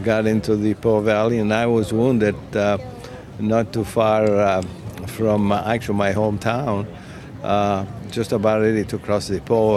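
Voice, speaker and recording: Speaking fairly slowly with an Italian accent, a man is heard over noticeable background noise. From northern Italy, Turin. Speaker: war veteran. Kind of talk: oral history interview. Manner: halting, many fillers.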